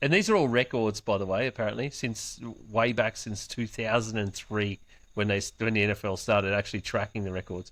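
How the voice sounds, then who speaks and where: Against a quiet background, a man with an Australian accent and a fairly low pitch talks at a fairly quick pace with fairly even intonation. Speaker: sports podcast host. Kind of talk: casual chat.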